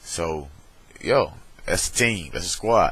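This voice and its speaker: A man talks in a Southern US accent. His pace is fairly slow. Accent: countrified Southern, slurred. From US South, Alabama. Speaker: vlogger. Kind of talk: casual webcam vlog. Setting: webcam recording. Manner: slow, slurred.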